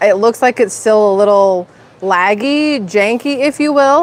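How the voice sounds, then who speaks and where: Against noticeable background noise, a woman speaks at a fairly high pitch. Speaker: YouTuber live streaming. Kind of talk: casual live stream chat. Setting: outdoors at the beach next to a restaurant. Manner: loud.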